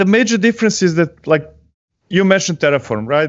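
There is a non-native accent here. It belongs to a male speaker. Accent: foreign-accented English. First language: not English. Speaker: software delivery strategist and tech author. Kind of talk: technical interview chat. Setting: live video stream. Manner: joking.

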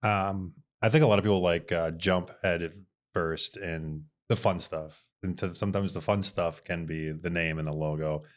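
In an Upper Midwest accent, a man speaks at a very deep, low pitch with fairly even intonation. The recording is very clean, with a silent background. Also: moderate pace. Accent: Upper Midwest American. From Minnesota, Bloomington. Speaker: design studio owner. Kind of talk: casual interview chat.

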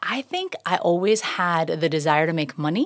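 With an American accent, a woman talks at a fairly slow pace and fairly low pitch. Hers is an unremarkable speaking voice with ordinary pitch variation. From Florida, Tampa Bay area (Safety Harbor). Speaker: serial entrepreneur and real estate agent. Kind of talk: casual interview. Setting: studio.

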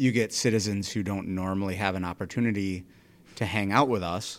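In a very clean recording with a silent background, a man speaks in an unremarkable speaking voice at a fairly low pitch. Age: 40s. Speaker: police officer and podcast host. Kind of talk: casual interview chat.

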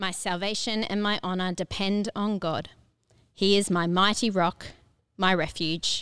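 Over a silent background in a very clean recording, a woman speaks fairly slowly at a medium pitch, her intonation monotone and flat. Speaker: church service host leading prayer. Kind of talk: prayer.

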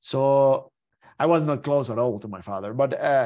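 A man speaks with a Spanish accent at medium pitch. His pace is moderate and the background quiet. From Mexico. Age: 30s. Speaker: Paralympic skier. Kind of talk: interview. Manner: halting with many repetitions.

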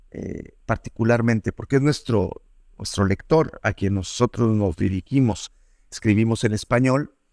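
The man speaks with a medium pitch and ordinary pitch variation at a fairly slow pace. The sound is dry and close, with no echo. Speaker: journalist and podcast producer. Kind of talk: interview. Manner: halting.

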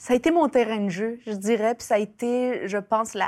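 A woman speaks with a fairly high pitch. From Chile, raised in Quebec from age 7. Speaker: writer and sociologist. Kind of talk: interview. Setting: studio. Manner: halting.

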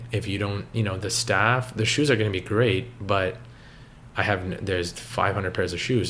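A man speaks with a Canadian accent at a fairly low pitch, his pitch varying in an ordinary way. Audible echo from the room surrounds his voice. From Canada, Toronto area (Richmond Hill). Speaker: coffee shop co-owner, former accountant. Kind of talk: interview.

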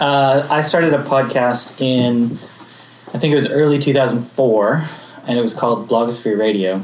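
Over noticeable background noise, a man at medium pitch speaks at a moderate pace with very even loudness. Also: ordinary pitch variation. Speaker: early podcaster. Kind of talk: panel talk.

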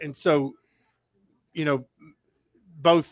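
Man speaking at a moderate pace, his pitch fairly high. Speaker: sports broadcaster. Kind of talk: casual sports talk.

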